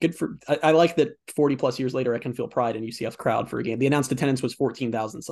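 A man at a very fast pace with hardly any pauses, medium pitch and ordinary pitch variation. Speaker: sports podcast host. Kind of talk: casual sports chat. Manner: animated, fast back-and-forth.

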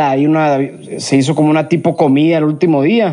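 A man talks at a moderate pace in a dark, mellow tone. His pitch sits fairly high. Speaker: podcast host. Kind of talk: casual chat. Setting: outdoors in the countryside.

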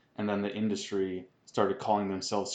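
This man's voice sits at a fairly low pitch, and he talks at a fairly quick pace. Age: 30s. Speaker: podcast co-host. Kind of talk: casual chat.

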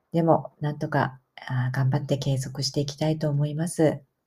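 The woman's voice has a dark, mellow tone and is somewhat breathy. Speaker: podcaster. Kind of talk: casual monologue. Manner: hesitant with fillers.

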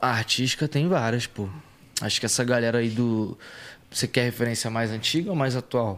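A man talks at a moderate pace with a medium pitch. He has a plain, everyday voice with ordinary pitch variation. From Rio de Janeiro, Brazil. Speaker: rap singer. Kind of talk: casual interview chat.

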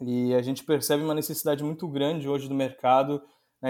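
A man's flat, monotone delivery at a fairly quick pace, in a very clean recording with a silent background. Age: 30s. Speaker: sales director. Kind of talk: interview.

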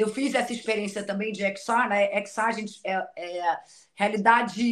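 An ordinary speaking voice from a woman, medium in pitch, fairly even in intonation and fairly slow. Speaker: TV presenter and journalist. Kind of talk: casual chat.

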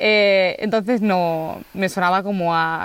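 Ordinary pitch movement in a woman's medium-pitched voice. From Spain, Barcelona. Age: 20s. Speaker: human resources worker, van-life traveller. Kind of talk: interview conversation. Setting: outdoors on a rural plot. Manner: halting, many repetitions.

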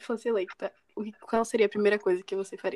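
Recorded with a dry, close sound and no echo, a woman with a fairly high pitch and a dark, mellow tone speaks at a fairly quick pace. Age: young. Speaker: podcast host. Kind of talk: podcast interview.

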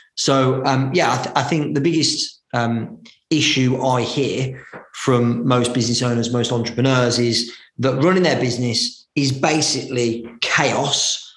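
Amid audible room echo, a man with a medium pitch speaks fairly slowly, his intonation fairly even and his loudness very even. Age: 30s. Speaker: business coach and entrepreneur. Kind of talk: interview. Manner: hesitant with frequent fillers.

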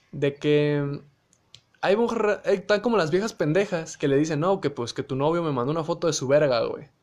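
With a fairly high voice, this man moves at a fairly quick pace and shows ordinary variation in pitch. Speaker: podcast host. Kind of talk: casual monologue. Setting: live audio stream. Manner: animated.

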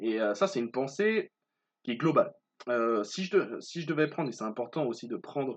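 A man with very wide pitch swings, quiet background. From Martinique. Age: 20s. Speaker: podcaster and student. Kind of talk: solo podcast monologue. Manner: hesitant, many fillers.

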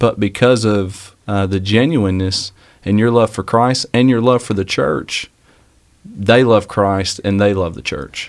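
In a very clean recording with a silent background, a man with a fairly low pitch speaks at a fairly slow pace in a normal speaking voice with ordinary pitch variation. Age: 30s. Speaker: young pastor, fill-in podcast host. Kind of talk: interview-style podcast conversation.

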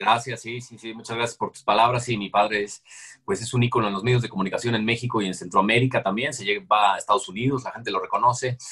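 A man talks at a very fast pace with a Mexican accent, his pitch medium. The tone is bright and sharp, and the intonation fairly even. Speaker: comedian and impressionist. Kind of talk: casual interview.

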